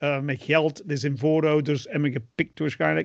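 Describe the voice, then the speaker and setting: Over a quiet background, a man with an unremarkable speaking voice talks at a fairly high pitch with ordinary pitch variation. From England. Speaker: podcast co-host. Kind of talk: casual chat.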